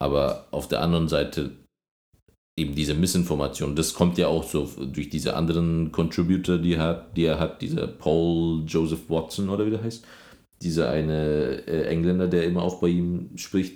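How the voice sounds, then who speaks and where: The tone is dark and mellow. Speech moves at a moderate pace. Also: man, very deep, low pitch for a man. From Germany. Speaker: podcast host. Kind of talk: casual chat. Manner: animated.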